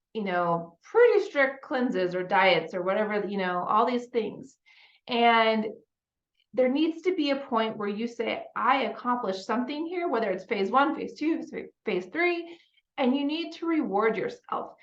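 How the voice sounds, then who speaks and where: A woman speaks at a moderate pace with a fairly high voice and very wide pitch swings. Audible echo fills the room. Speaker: life coach. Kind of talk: motivational talk. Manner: casual, conversational.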